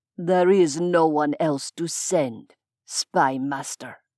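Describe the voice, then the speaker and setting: This is a put-on character voice at a middle pitch. The delivery is very slow. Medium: audio drama. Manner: cold, clipped, authoritative.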